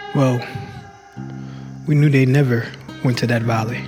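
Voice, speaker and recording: Over music in the background, a man speaks at a medium pitch with monotone, flat intonation. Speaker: voice actor. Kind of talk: storytelling in the voice of an old frontier-era man recounting events. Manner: slow, deliberate, with long pauses.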